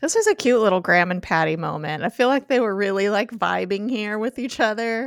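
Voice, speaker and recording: In an ordinary speaking voice, a woman talks at a fairly quick pace with hardly any pauses, a fairly high pitch and lively intonation. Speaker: podcast host. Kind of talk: casual chat.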